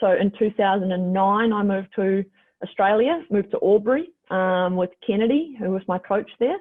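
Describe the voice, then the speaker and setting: With a New Zealand accent, a woman speaks at a moderate pace in a medium pitch with ordinary pitch variation. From New Zealand, Christchurch. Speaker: professional basketball player. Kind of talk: casual interview.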